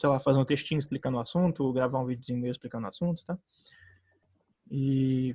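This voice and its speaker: A man's somewhat breathy, medium-pitched voice, dark and mellow in tone, at a very fast pace. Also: dry, close sound with no echo. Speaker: student tutor. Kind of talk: lecture. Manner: casual, halting.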